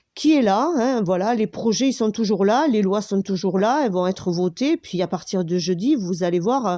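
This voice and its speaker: This woman's voice sits at a medium pitch and carries lively intonation. Her pace is fairly slow. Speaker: video commentator. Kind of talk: monologue commentary. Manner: halting, many fillers.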